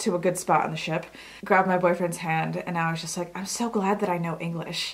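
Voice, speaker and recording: A woman with an American accent speaks in a fairly low, flat monotone. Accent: American when speaking Polish. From US, Polish-born immigrant. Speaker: beauty vlogger. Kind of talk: casual chat.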